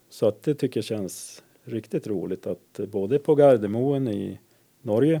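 With a slight northern Swedish accent, a man speaks very slowly in a dark, mellow tone with ordinary pitch variation. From inland Västerbotten, Dorotea. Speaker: energy controller. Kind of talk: interview. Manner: hesitant, filler-heavy.

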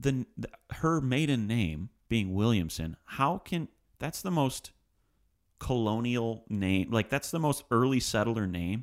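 In an ordinary speaking voice at medium pitch, a man talks at a fairly slow pace with lively intonation. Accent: American. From Livonia, Michigan, US. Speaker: podcast host. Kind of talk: casual chat. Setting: studio.

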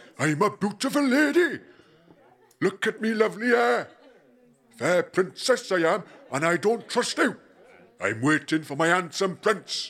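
In a put-on character voice, a man sounds gravelly and gruff at a high pitch. He keeps a moderate pace with long, frequent pauses. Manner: mock-sweet, sing-song.

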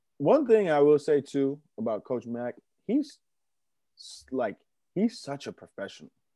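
A man with an American accent speaks at a fairly slow pace in a fairly high pitch, his dark, mellow tone moving through very wide pitch swings, with long, frequent pauses and a dry, close sound with no echo. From Massachusetts, Boston area (Attleboro). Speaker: former college basketball player. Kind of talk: casual interview. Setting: remote call.

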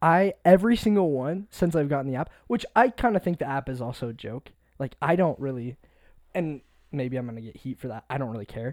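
In a plain, everyday voice, a man talks at a fairly quick pace with a fairly high pitch and lively intonation, on a very clean recording with a silent background. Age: 20s. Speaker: podcast co-host. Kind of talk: casual chat. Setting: music production studio.

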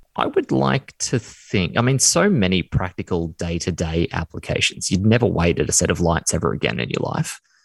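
The dry, close recording with no echo captures a man speaking with an Australian accent. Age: 30s. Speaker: former podcast co-host. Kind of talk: casual chat.

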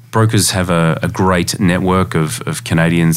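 Noticeable background noise accompanies a man with an Australian accent. His very deep, low pitch shows ordinary variation. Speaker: lending company CEO. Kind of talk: interview. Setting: studio.

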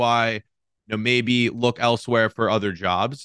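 A man with an American accent and a plain, everyday voice talks at a medium pitch and a fairly quick pace over a quiet background. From Cincinnati, Ohio. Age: 20s. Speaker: YouTuber. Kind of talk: interview.

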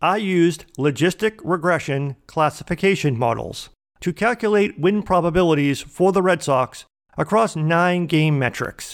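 This man speaks with an American accent in a high pitch, his loudness very even and his pitch varying in an ordinary way. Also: moderate pace, very clean recording, silent background. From Boston, Massachusetts. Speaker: podcast host, data analytics marketer. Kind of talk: scripted narration. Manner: formal.

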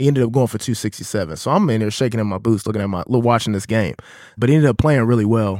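In a very clean recording with a silent background, a man speaks at a very fast pace with an American accent. His pitch is medium and varies an ordinary amount. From Kansas City, Missouri, US Midwest. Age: 30s. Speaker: podcast host. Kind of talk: casual chat. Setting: studio.

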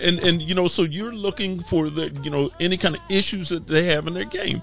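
Music plays in the background. A man with an American accent speaks at a high pitch. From California. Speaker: fraternity member. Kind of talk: casual chat. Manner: hesitant, many fillers.

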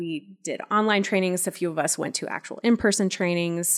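The pitch moves in an ordinary way at a moderate speed. The recording is very clean and the background is silent. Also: woman. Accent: American. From Loveland, Colorado, US. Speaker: library consultant. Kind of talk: casual chat. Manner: animated.

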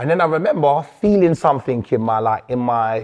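Ordinary pitch variation colors the fairly slow delivery. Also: man. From London, England. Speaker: rapper and youth worker. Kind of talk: casual interview. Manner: animated.

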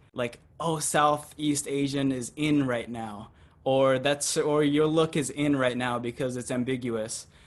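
An unremarkable speaking voice with an American accent and ordinary pitch variation. The background is quiet. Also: man. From rural Oregon. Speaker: actor. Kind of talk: monologue.

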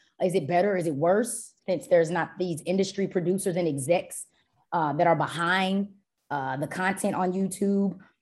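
Speaking in a normal speaking voice with an American accent, a woman holds a medium pitch, ordinary pitch variation and a moderate pace in a very clean recording with a silent background. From Dallas, Texas. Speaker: doctoral student and media instructor. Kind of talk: interview.

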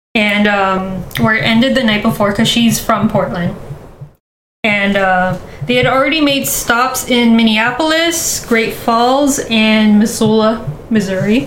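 Audible room echo surrounds a woman with a fairly high pitch. She speaks at a fairly slow pace with very even loudness. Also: ordinary pitch variation. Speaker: podcast co-host. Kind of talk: casual storytelling chat.

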